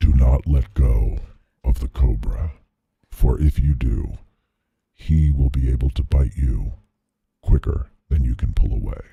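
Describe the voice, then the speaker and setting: A man whispering in a put-on character voice at a moderate pace, with long, frequent pauses. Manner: whispering, eerie.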